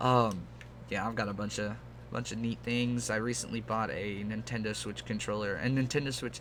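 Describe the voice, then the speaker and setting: With audible room echo, a man of fairly low pitch speaks at a moderate pace in a relaxed tone, his intonation fairly even. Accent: American. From Texas. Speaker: gaming YouTuber. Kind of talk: casual gameplay chat. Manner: relaxed, rambling with fillers.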